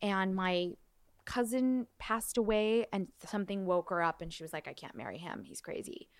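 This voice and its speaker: A woman with an American accent has an unremarkable speaking voice, medium in pitch with ordinary pitch variation and a moderate pace. Her loudness swings a lot, and the recording is very clean with a silent background. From Los Angeles, San Fernando Valley. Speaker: musical theater performer and director. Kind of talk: casual chat.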